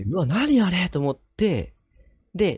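A somewhat breathy man with very wide pitch swings, the sound dry with no echo against a quiet background. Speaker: nurse and ghost story teller; ghost story teller. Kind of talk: ghost story telling in conversation.

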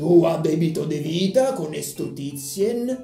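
Using a put-on character voice, a man with a fairly high pitch speaks at a fairly slow pace, with slight echo and clear music in the background. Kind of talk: comedic trivia commentary. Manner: comic impression.

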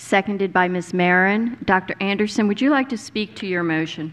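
A woman speaks at a medium pitch with ordinary pitch variation. Her pace is fairly quick.

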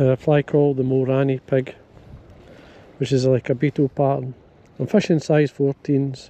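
This man speaks at a moderate pace in a dark, mellow tone, his intonation monotone and flat, the sound dry with no echo. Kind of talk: tutorial. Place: waterside. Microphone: phone near.

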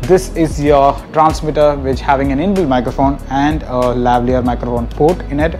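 Clear music in the background behind a man talking at a fairly quick pace. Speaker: vlogger. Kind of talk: product review. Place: office. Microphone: lapel.

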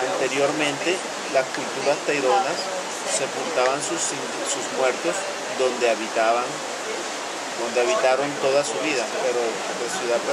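A man speaks at a very slow pace. Loud background noise is present. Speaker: trekking guide. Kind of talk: lecture. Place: open country. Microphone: camera far.

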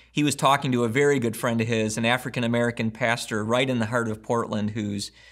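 A man speaking very fast in a monotone, flat intonation, over a quiet background. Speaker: pastor. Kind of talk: sermon intro and prayer. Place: home room.

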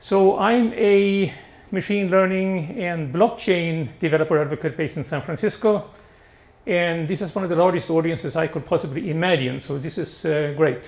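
A man speaks with a high pitch. His pace is moderate and his pitch variation ordinary. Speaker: presenter. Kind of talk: presentation talk. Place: hall. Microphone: handheld.

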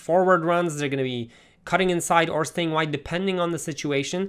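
A man speaks in a fairly high voice with ordinary pitch variation. His tone is animated and excited over a quiet background. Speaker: gaming YouTuber. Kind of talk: video game commentary, part casual chat, part live match commentary. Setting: home recording with gameplay footage. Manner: animated, excited play-by-play with quick reactions during matches; conversational, analytical when going over stats.

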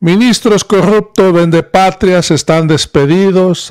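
The background is quiet. Against it, a man talks at a very slow pace. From Mexico. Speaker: political news commentator. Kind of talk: political commentary. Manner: animated. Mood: critical, indignant. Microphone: studio mic.

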